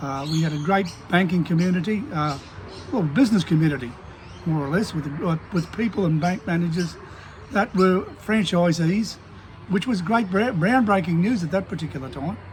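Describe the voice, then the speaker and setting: Amid noticeable background noise, a man with an Australian accent speaks at a moderate pace in a high pitch with ordinary pitch variation. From Queensland, Australia. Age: 70s. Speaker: small business owner and vlogger. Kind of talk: casual monologue rant. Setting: at a desk. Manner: halting, many fillers and restarts.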